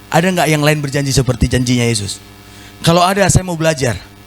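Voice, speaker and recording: A man with a fairly high voice talks at a fairly quick pace, his tone animated and his intonation lively. Noticeable background noise runs behind him. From North Sumatra (Batak). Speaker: pastor. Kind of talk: sermon.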